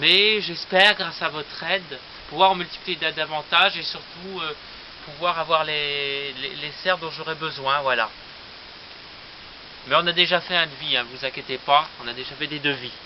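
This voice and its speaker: A man talks at a moderate pace, leaving long, frequent pauses. His pitch is fairly high, with ordinary variation. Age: 20s. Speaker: aspiring plant nurseryman. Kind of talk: casual video presentation, guided tour. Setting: outdoors on a terrace. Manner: hesitant, many fillers.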